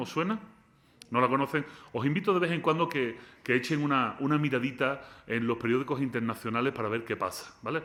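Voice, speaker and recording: Bright and sharp, this man's voice has an animated tone. He speaks at a fairly quick pace with ordinary pitch variation. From Spain. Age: 40s. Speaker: philosopher. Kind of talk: lecture. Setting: lecture hall with student audience.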